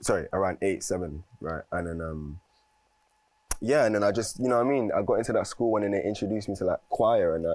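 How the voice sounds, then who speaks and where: Speaking with a London accent, a man goes at a very fast pace. His pitch is fairly low, with ordinary variation. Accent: London, multicultural London English. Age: 20s. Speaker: musician. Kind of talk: casual interview. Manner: halting.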